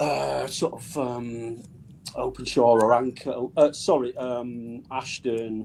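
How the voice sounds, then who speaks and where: Speaking very slowly in a Mancunian accent, a man lets his loudness swing widely. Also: medium pitch for a man, fairly even intonation. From northern England, Manchester (Bradford area). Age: 60s. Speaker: rock drummer. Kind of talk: podcast interview. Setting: live-streamed podcast. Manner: hesitant, many fillers.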